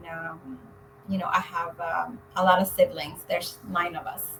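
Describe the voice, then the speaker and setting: A woman's medium-pitched voice with a Spanish accent and lively intonation. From Mexico, Zacatecas. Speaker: real estate agent. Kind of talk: interview.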